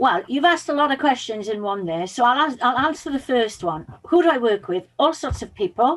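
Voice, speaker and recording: With a Welsh accent, a woman talks at a fairly quick pace in a high pitch, her pitch swinging very widely and hardly any pauses between words. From Wales (Pembrokeshire). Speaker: public speaking and mindset coach. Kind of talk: podcast interview.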